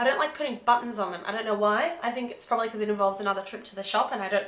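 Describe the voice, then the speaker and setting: A fairly high female voice with ordinary pitch variation and audible room echo. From Australia (Melbourne). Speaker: knitting vlogger. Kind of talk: casual vlog chat. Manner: hesitant, many ums.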